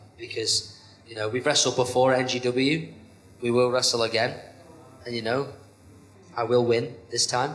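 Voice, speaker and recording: A man's medium-pitched, monotone, flat delivery at a moderate pace, with long, frequent pauses and noticeable background noise. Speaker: professional wrestler. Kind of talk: podcast interview.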